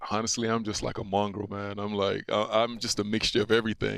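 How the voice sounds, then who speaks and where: A man speaks at a very fast pace in a fairly low, monotone, flat voice. The recording is very clean, with a silent background. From Nigeria. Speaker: retired football player. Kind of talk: casual interview.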